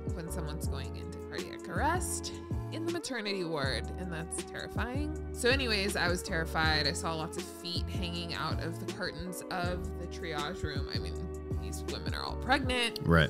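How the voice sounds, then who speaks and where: A woman at a moderate pace with ordinary pitch variation, clear music in the background. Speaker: pregnant vlogger, podcast co-host. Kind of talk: casual podcast storytelling. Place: home room. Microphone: studio mic.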